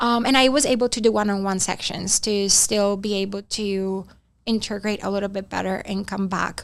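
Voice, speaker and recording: The recording is very clean, with a silent background. A woman with a non-native accent speaks at a moderate pace in a medium pitch with fairly even intonation. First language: not English. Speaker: retreat participant. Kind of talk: casual interview. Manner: hesitant, many fillers.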